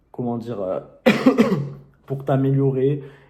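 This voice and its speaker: A dark, mellow tone at a moderate pace, with audible room echo. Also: man. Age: young. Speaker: YouTuber and self-published author. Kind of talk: casual vlog tutorial. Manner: hesitant, many fillers.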